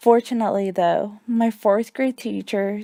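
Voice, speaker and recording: A woman speaks at medium pitch in a dark, mellow tone with fairly even intonation. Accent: Spanish. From US, Mexican family (moved at age four). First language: Spanish. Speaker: student teacher. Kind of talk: reading a personal essay. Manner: scripted, even pace.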